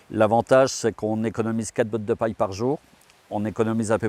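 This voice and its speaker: Recorded with a dry, close sound and no echo, a man speaks fairly quickly in a dark, mellow tone at a fairly low pitch with fairly even intonation. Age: 60s. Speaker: farmer. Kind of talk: interview. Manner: hesitant, with frequent fillers.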